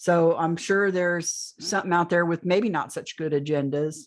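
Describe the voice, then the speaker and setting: The recording is very clean, with a silent background. The pitch varies in an ordinary way. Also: woman. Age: 60s. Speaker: alien abduction experiencer. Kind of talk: interview testimony.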